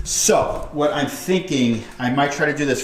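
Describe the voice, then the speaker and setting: Lively intonation marks a man's fairly high-pitched voice, heard with noticeable background noise and audible room echo. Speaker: car DIY youtuber. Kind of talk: casual DIY tutorial narration. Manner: loud.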